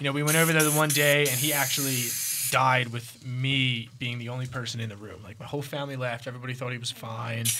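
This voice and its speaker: A man at a medium pitch, very fast, with fairly even intonation, big swings in loudness, noticeable background noise and audible room echo. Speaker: cannabis podcast host. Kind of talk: casual chat.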